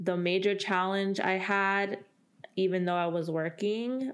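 Moderate speed and fairly even intonation in a plain, everyday voice. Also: woman. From California, Central Valley. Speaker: college diversity program coordinator. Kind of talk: podcast interview.

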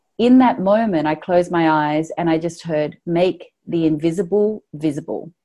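Speaking in an Australian accent, a woman has a dark, mellow tone and a fairly low pitch. She goes at a fairly slow pace with ordinary pitch variation. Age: 40s. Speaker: online business founder and feminist writer. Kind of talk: casual interview.

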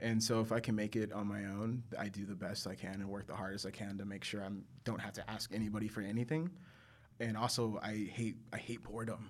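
Here is a man with an ordinary speaking voice and a fairly low pitch, in an American accent. He talks at a fairly quick pace. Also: fairly even intonation. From Texas, San Angelo (West Texas). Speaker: photographer. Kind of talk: casual chat. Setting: studio.

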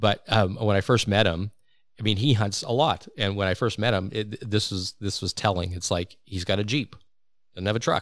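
On a very clean recording with a silent background, a man with a fairly low pitch speaks at a moderate pace in an ordinary speaking voice. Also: ordinary pitch variation. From Saskatchewan, Canada (Regina). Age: 50s. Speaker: podcast host, hunter. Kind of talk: casual chat. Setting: studio.

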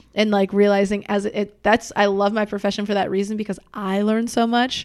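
On a very clean recording with a silent background, a woman speaks at a moderate pace and medium pitch in a flat monotone. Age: 20s. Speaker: former basketball player. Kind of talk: casual chat. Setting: friend's apartment.

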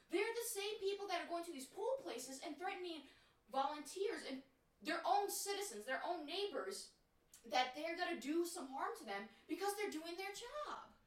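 Her voice extremely high, a woman speaks at a moderate pace with very wide pitch swings. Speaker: podcast host. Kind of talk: casual chat.

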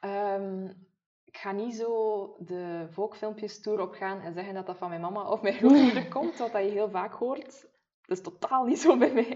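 At a fairly slow pace, a woman with a slight West Flemish accent talks in a medium pitch, with ordinary pitch variation and big swings in loudness. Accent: slight West Flemish-tinged Flemish. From Maldegem, East Flanders, Belgium. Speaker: podcast co-host, beauty blogger. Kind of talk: casual chat.

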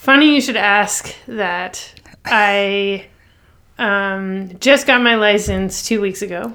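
With a Canadian accent, a woman speaks very slowly in a bright, sharp tone at medium pitch with ordinary pitch variation. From Toronto, Canada. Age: 30s. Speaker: songwriter. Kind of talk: interview. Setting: at home, remote interview.

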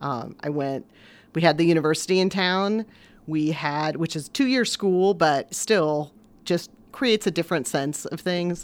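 With a Midwestern American accent, a woman speaks at a moderate pace and fairly low pitch, with ordinary pitch variation, on a very clean recording with a silent background. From southwestern Indiana, US Midwest. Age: 50s. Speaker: newspaper editor. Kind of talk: interview.

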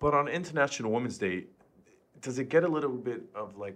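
Using a normal speaking voice, a man talks at a fairly quick pace with lively intonation. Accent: American. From New York, Queens. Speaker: podcast co-host. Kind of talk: casual chat.

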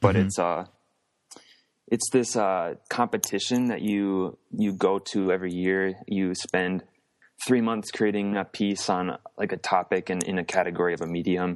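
Moderately paced, this man speaks with an American accent at a very deep, low pitch. His intonation is fairly even, and the background is quiet. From US Midwest, central Wisconsin. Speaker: artist. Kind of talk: interview.

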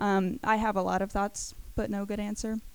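On a very clean recording with a silent background, a woman of medium pitch speaks at a fairly quick pace. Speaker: student giving testimony. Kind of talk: testimony. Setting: church service with audience. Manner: soft-spoken.

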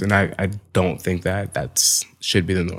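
Vocal fry in a very deep, low male voice, pitch varying in an ordinary way. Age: 20s. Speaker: fashion photographer. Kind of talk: casual chat.

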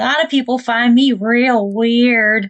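A female-sounding voice, high in pitch for a woman, delivers a put-on character voice. The pace is fairly slow. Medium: actual play. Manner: warm, bubbly.

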